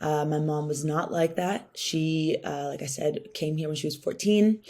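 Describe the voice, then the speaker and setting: A woman with a Californian accent speaks at a moderate pace in a very deep, low pitch and a dark, mellow tone. The recording is very clean, with a silent background. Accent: Californian American English. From Southern California (Orange County). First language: Spanish. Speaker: venture capital founder, workshop speaker. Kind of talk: workshop talk.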